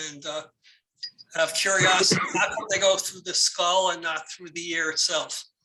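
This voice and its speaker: A man speaks at a high pitch in a monotone with flat intonation. His loudness shows big swings. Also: moderate pace. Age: 70s. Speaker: audience member with hearing loss. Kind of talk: question from audience. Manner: halting.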